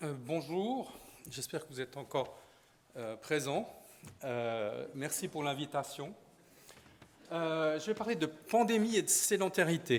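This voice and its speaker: A man with a Swiss accent, fairly high-pitched and very slow, with lively intonation, big swings in loudness and long, frequent pauses. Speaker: sports physician. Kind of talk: conference talk.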